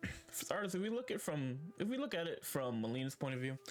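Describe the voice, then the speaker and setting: With music in the background, a fairly high-pitched man talks at a moderate pace, his pitch swinging very widely. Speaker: live streamer. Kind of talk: video game lore commentary. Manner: casual, hesitant.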